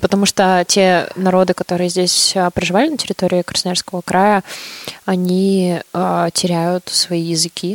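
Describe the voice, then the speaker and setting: Fairly slow, monotone and flat speech from a woman at a medium pitch, dry and close with no echo, over noticeable background noise. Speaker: podcast co-host. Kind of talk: casual chat.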